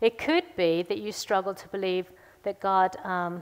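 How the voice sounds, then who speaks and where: On a very clean recording with a silent background, the voice keeps a fairly even intonation. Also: woman. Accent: American. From US, Missouri. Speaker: seminar speaker. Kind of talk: seminar talk. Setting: stage with audience.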